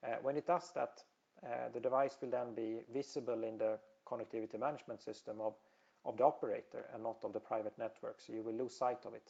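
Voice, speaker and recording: A man with a Swedish accent speaks at a very fast pace. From Sweden. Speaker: telecom industry presenter. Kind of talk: webinar presentation. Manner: halting, many fillers.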